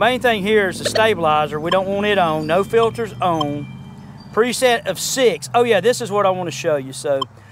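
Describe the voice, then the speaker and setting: Over noticeable background noise, a man speaks at a moderate pace in a high voice with lively intonation. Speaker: metal detecting youtuber. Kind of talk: tutorial. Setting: outdoors. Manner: casual.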